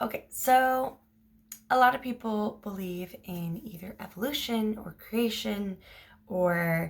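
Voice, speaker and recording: A woman's medium-pitched, somewhat breathy voice with ordinary pitch variation. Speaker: online storyteller. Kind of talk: casual storytelling. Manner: hesitant, many ums.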